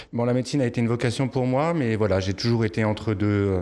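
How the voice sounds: At a moderate pace, a man speaks in a slightly mellow tone.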